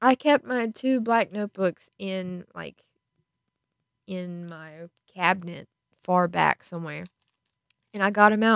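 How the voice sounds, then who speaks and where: A woman speaks at a fairly slow pace with long, frequent pauses, big swings in loudness, lively intonation and an animated tone, all in a dry, close sound with no echo. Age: 20s. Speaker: podcaster. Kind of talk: casual chat.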